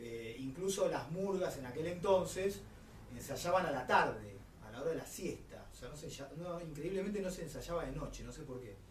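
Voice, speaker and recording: A man with a Rioplatense accent speaks at a moderate pace and a fairly high pitch, with lively intonation and big swings in loudness, amid noticeable background noise and audible room echo. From Buenos Aires, Argentina. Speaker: carnival figure. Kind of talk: interview testimony.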